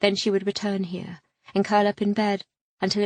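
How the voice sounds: Over a quiet background, the clip offers a natural reading voice.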